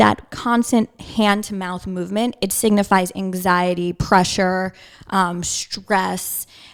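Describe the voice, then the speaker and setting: A woman talks with a Long Island accent. Her pace is fairly slow and her intonation fairly even. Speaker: holistic nutritionist. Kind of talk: interview. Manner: casual, filler-heavy.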